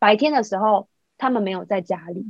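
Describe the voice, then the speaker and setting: Fairly high-pitched female voice, dark and mellow in tone, with ordinary pitch variation. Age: 40s. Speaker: podcast co-host. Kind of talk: casual chat. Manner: animated.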